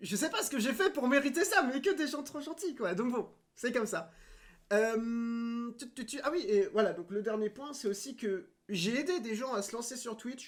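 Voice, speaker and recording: At a moderate pace, a man talks with lively intonation in an extremely high pitch. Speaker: streamer. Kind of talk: casual farewell monologue. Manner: halting, many fillers.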